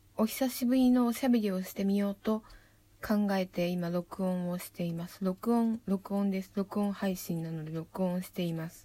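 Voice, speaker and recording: The voice is somewhat breathy, dark and mellow, with a relaxed tone and ordinary pitch variation. It moves at a moderate pace, with big swings in loudness. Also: woman, medium pitch for a woman. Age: 30s. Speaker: poet. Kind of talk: casual monologue. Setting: at home in her room. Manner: relaxed, rambling.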